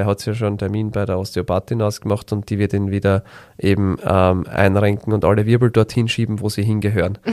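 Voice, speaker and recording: A man talks at a fairly quick pace in a fairly low, monotone, flat voice, with dry, close sound and no echo. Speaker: physiotherapist podcast host. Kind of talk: casual chat.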